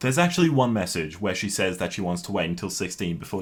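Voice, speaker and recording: With an Australian accent, a man talks with very wide pitch swings. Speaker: YouTuber. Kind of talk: personal response video. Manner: halting.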